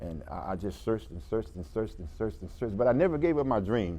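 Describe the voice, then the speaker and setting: At a very fast pace, a man with a fairly low pitch and a dark, mellow tone talks in very wide pitch swings. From US South, Georgia (Americus). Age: 60s. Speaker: formerly homeless artist. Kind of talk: talk show interview.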